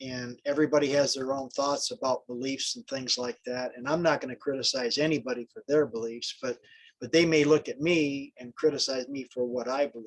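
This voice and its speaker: A man speaks at a fairly quick pace in a normal speaking voice, his pitch fairly high and his intonation fairly even. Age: 60s. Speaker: network marketer on group call. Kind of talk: casual group call discussion. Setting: group call.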